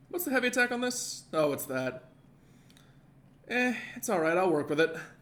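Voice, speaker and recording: The pitch swings very widely, with noticeable background noise throughout. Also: man, high pitch for a man. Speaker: gaming streamer. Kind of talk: live gameplay commentary. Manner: fast, mumbling.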